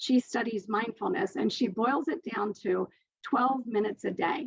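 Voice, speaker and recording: Her voice fairly high with vocal fry, a woman speaks with lively intonation and very even loudness. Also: moderate pace. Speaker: author and speaker at online summit. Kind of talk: presentation.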